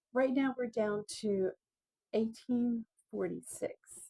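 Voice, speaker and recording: A woman speaks loudly at a very slow pace. Her tone is dark and mellow, and the sound is dry and close with no echo. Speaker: video blogger. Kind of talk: casual monologue on history. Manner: halting, many fillers; talking loudly to be heard.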